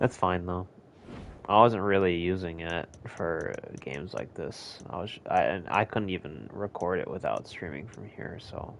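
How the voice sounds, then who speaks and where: Speaking with an American accent, a man with a very deep, low pitch moves at a fairly slow pace, with ordinary pitch variation and big swings in loudness. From United States. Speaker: gamer streamer. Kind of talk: gameplay commentary. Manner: casual, animated.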